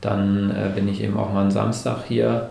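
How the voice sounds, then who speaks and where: A man's voice carries audible room echo. Noticeable background noise runs underneath. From northern Germany (Hamburg). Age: 30s. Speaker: entrepreneur. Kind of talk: interview. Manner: hesitant, many filler sounds.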